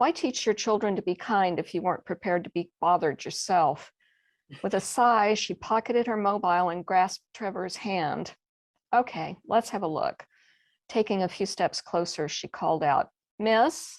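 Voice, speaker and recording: Against a quiet background, a woman with a Texas accent talks at a moderate pace and medium pitch with ordinary pitch variation, the sound dry and close with no echo. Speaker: mystery novelist. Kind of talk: reading aloud.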